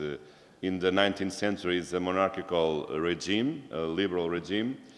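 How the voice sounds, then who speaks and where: With audible room echo, a man speaks in a very deep, low pitch and fairly even intonation. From Portugal. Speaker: law lecturer. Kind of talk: conference talk. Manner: halting, many fillers.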